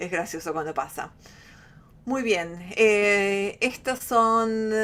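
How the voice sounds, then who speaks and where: Her pitch is medium, and this woman's voice shows ordinary pitch variation. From Argentina. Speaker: flutist, workshop teacher. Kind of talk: online workshop. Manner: halting.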